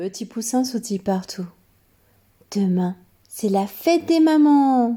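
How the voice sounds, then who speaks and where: Long, frequent pauses break up talking that proceeds at a very slow pace. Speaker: children's story reader. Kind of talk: reading aloud.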